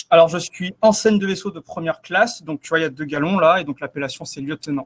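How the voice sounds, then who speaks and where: A man with a slight southern French accent speaks very fast in a high pitch, with ordinary pitch variation, big swings in loudness, and a dry, close sound with no echo. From southeast France. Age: 20s. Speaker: navy cybersecurity officer. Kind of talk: interview. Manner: halting.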